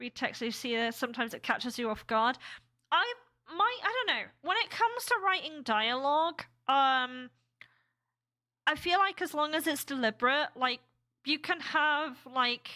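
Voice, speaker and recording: In an American accent, a woman speaks at a high pitch with a raised, projected voice, a bright, sharp tone and very wide pitch swings. She keeps a moderate pace with long, frequent pauses, in a very clean recording with a silent background. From UK. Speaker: game developer streamer. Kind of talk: casual live stream chat. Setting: live stream. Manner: halting, many fillers.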